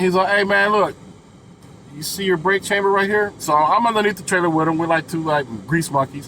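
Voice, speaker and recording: Animated and fairly quick, a man with a high pitch speaks with ordinary pitch variation. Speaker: truck driver vlogger. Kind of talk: casual storytelling vlog. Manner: fast.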